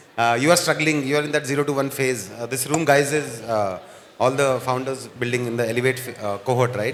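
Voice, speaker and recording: Fairly even intonation from a medium-pitched man, amid noticeable background noise and audible room echo. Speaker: event host, chief evangelist. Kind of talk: fireside chat with live audience. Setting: stage with live audience.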